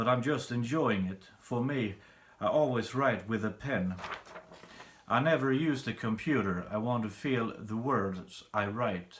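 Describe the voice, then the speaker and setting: Amid audible room echo, a man speaks at a fairly slow pace in a medium pitch. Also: ordinary pitch variation. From Sweden. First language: Swedish. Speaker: songwriter. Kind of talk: tutorial.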